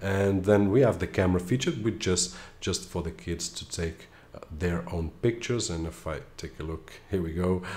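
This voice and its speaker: Somewhat breathy speech at a moderate pace, with ordinary pitch variation. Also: man, very deep, low pitch for a man. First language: Portuguese. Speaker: tech reviewer. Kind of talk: tutorial. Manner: casual, with filler hesitations.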